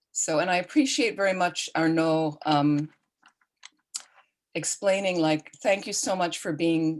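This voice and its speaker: A woman with a normal speaking voice, ordinary pitch variation and a fairly slow pace. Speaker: Buddhist nun and teacher. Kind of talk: online dharma teaching. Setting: video call.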